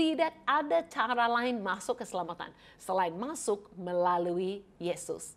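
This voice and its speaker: In an English accent, a woman speaks in a warm tone with very wide pitch swings. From Canada. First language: English (speaking Indonesian). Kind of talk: Bible teaching; program introduction. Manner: warm and friendly.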